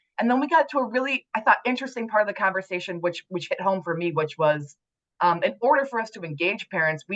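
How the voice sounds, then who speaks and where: This woman's medium-pitched voice moves through very wide pitch swings. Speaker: committee leader. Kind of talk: meeting report. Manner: fast.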